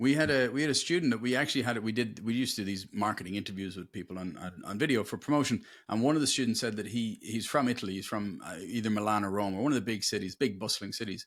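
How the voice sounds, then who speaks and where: Here a man with an American accent talks very fast at a medium pitch with hardly any pauses. The recording is very clean, with a silent background. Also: ordinary pitch variation. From Ireland. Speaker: career consultant. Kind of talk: interview. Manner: clear, easy to understand.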